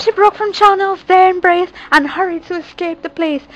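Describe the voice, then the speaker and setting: A woman talks at a moderate pace, recorded dry and close with no echo. Noticeable background noise can be heard. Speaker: YouTuber reading a children's book. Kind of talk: reading aloud.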